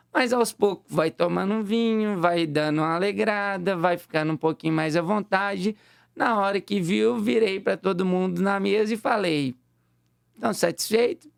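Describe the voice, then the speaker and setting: With a high pitch and ordinary pitch variation, a man speaks at very even loudness, in a dry, close sound with no echo, on a very clean recording with a silent background. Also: moderate pace. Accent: Minas Gerais. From Minas Gerais, Brazil. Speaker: fitness trainer. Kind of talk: casual chat.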